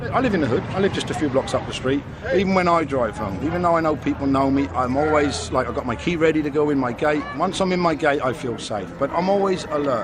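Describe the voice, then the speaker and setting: Talking at a very fast pace with hardly any pauses, a man with a fairly high pitch and lively intonation comes through audible room echo and noticeable background noise. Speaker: pub doorman. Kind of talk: interview.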